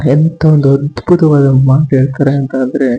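Here a man speaks in a dark, mellow tone at a medium pitch. His voice is somewhat breathy. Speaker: YouTube vlogger. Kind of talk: casual vlog commentary. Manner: halting, stumbling. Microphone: new cheap microphone.

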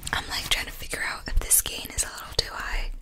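A soft-spoken woman whispering at a very fast pace over light background noise. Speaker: ASMR creator. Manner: soft ASMR whisper close to the mic. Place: home room. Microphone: studio mic.

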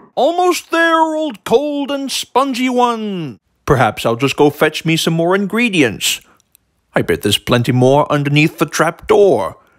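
A man puts on a cartoonish character voice, high-pitched and with very wide pitch swings. His pace is moderate. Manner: chatty, fussy, easily flustered.

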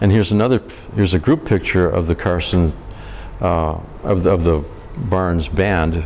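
Over light background noise, a man with a very deep, low pitch and ordinary pitch variation talks at a moderate pace. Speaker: local historian; presenter. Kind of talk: history lecture. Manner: hesitant, casual. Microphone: lapel.

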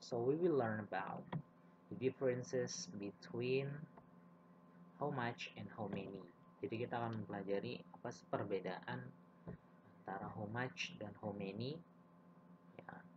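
Against noticeable background noise, a man with a fairly low pitch talks at a fairly slow pace with long, frequent pauses, lively intonation and big swings in loudness. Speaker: English teacher. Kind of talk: lecture. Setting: video lesson for elementary students.

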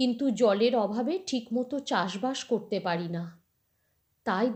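A woman speaks with a fairly high pitch, a dark, mellow tone, and lively intonation. The recording is very clean, with a silent background. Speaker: storyteller. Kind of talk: reading aloud.

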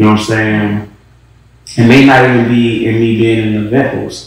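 A man's voice carries strong room echo. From US, West Baltimore; Maryland. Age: 20s. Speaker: event promoter and artist manager; interviewee. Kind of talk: casual interview. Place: home room.

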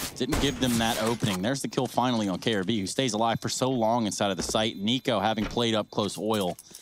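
Over music in the background, a man at a medium pitch talks at a fairly quick pace with hardly any pauses, fairly even intonation and very even loudness. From Alabama. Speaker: esports commentator. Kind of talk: live commentary.

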